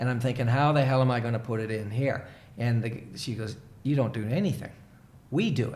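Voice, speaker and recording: Somewhat breathy, a man with an American accent talks fairly quickly at a medium pitch, with audible room echo around him. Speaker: leadership coach. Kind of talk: casual chat. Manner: animated storytelling.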